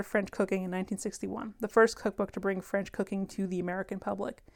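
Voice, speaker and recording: A woman with an animated tone at a very fast pace, on a very clean recording with a silent background. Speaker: podcast host. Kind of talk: vintage commercial parody read aloud in a mock retro ad voice, then back to casual chat; casual chat podcast. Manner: exaggerated, sing-song retro announcer delivery, tongue-in-cheek and playful; animated, laughs often.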